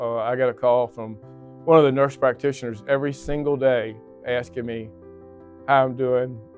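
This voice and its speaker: A man talks at a moderate pace in a monotone, flat delivery. The sound is dry with no echo, and faint music plays in the background. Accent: American. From Virginia, US. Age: 60s. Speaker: lung transplant patient. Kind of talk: interview answer. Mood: calm, reflective. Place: hall. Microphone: lapel.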